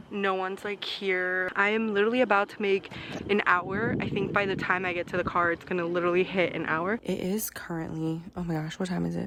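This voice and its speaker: Over noticeable background noise, a woman at a medium pitch talks at a fairly quick pace in a monotone, flat intonation. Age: 20s. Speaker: lifestyle vlogger. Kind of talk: vlog, casual talk to camera. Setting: at home and at a park, in a car. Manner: chatty, informal.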